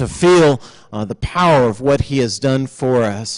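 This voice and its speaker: A man speaks at a fairly slow pace against a quiet background. His pitch shows ordinary variation. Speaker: pastor giving announcements. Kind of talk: church announcements. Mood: warm, upbeat. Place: church. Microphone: podium.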